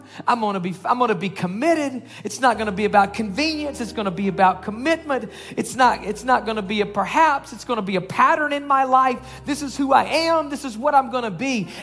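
Noticeable background noise sits behind a fairly quick delivery with hardly any pauses. The tone is animated and the intonation lively. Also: woman, high pitch for a woman. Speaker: preacher. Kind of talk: sermon; fervent prayer. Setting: church. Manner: fervent, earnest, pleading, rising in intensity as he prays over the congregation; conversational, animated, casual, with repeated words and asides.

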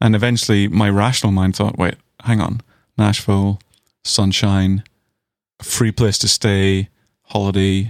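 In a Northern Irish accent, a man with a fairly low pitch talks at a fairly slow pace with long, frequent pauses, a monotone, flat intonation and very even loudness, captured as a very clean recording with a silent background and a dry, close sound with no echo. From Northern Ireland. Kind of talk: casual chat.

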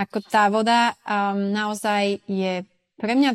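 A woman's ordinary speaking voice, medium in pitch, with fairly even intonation and a dry, close sound with no echo. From Slovakia, Sklabiňa (Turiec region). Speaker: expat working in Ibiza tourism and events. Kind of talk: casual interview. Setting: remote recording from Mallorca.

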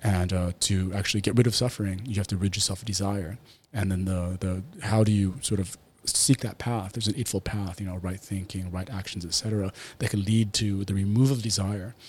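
A somewhat breathy man at a fairly low pitch, fairly quick pace and fairly even intonation, on a very clean recording with a silent background. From Taiwan, Taipei. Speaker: businessman and martial arts gym founder. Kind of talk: podcast interview. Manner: hesitant, many fillers.

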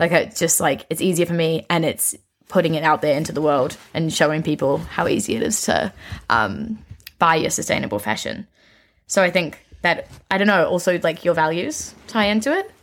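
With a New Zealand accent, the voice moves at a moderate pace with lively intonation and vocal fry. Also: woman, fairly low pitch for a woman. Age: 20s. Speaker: young entrepreneur and content creator. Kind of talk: casual interview chat.

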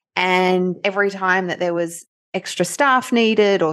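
A woman speaks with an Australian accent at a medium pitch, her pitch varying in an ordinary way. The background is quiet. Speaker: nurse and life coach. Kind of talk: interview testimony. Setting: remote call.

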